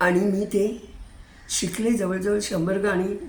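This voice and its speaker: At a medium pitch, a woman talks in a somewhat breathy voice. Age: 80s+. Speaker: retired hobbyist YouTuber. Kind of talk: casual talk to camera.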